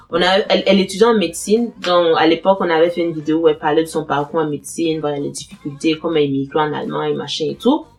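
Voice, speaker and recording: A woman speaks in a very deep, low pitch with a Burkinabe accent and ordinary pitch variation. Her pace is very fast, with hardly any pauses. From Burkina Faso. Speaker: YouTuber giving advice on studying and immigrating. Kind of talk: casual Q&A video. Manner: hesitant, many fillers and repetitions.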